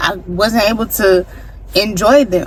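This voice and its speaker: Over noticeable background noise, a woman talks in an animated tone at a medium pitch with ordinary pitch variation. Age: 20s. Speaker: vlogger. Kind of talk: storytime vlog.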